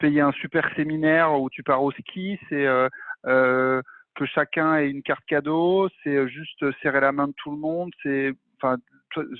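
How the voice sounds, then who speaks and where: Here is a man with a normal speaking voice and fairly high pitch. He speaks at a fairly slow pace with fairly even intonation. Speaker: masterclass host. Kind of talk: interview. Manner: casual, many fillers.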